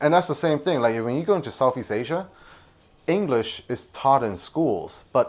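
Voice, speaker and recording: A man with an American accent, a plain, everyday voice, lively intonation and a moderate pace, against a quiet background. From New York City (Malaysian-Chinese family). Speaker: knife designer. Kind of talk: casual chat. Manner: casual, many fillers.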